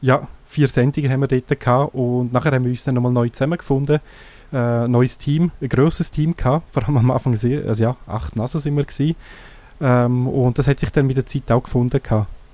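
A man with a Graubünden Swiss accent speaks at a fairly quick pace in a medium-pitched voice, his tone dark and mellow and his intonation fairly even. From eastern Switzerland, Graubünden / Sarganserland. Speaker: tech blogger and podcaster. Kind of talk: casual radio interview. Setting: radio studio.

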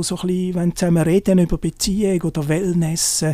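A man's high-pitched voice at a fairly quick pace, monotone and flat in intonation, with noticeable background noise. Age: 50s. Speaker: journalist and hiking blogger. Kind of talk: interview.

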